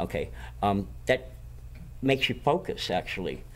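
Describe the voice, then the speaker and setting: Vocal fry marks this man's voice as his pitch swings very widely. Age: 60s. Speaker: medical cannabis patient. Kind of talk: casual interview. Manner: repetitive stammering.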